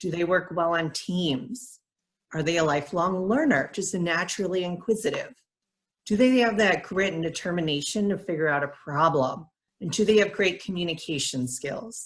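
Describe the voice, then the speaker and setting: The woman has a plain, everyday voice, pitched fairly low. She talks at a moderate pace with lively intonation. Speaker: nonprofit program director. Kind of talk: presentation.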